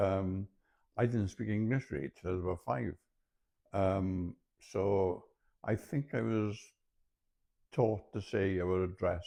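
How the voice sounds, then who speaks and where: Against a quiet background, a man with a Welsh accent speaks fairly slowly in a very deep, low pitch, his dark, mellow tone carrying lively intonation and long, frequent pauses. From mid Wales (Montgomeryshire), born in London. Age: 60s. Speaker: retired journalist and university lecturer. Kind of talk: interview. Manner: halting.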